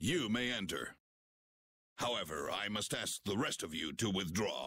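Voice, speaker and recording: A man puts on a character voice, pitched fairly low and delivered at a moderate pace. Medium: video game. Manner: formal, stiff.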